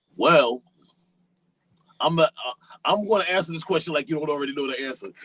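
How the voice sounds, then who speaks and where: In a plain, everyday voice, a man talks at a fairly quick pace with fairly high pitch, ordinary pitch variation and big swings in loudness, the sound dry and close with no echo. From US Northeast, Philadelphia and Harlem. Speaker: rapper. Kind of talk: podcast interview.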